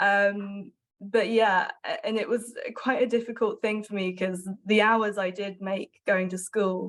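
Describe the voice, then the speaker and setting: A woman speaks in an English accent at a medium pitch. Her pace is fairly slow, with fairly even intonation. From southwest England. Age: 20s. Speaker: journalist. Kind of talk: interview testimony.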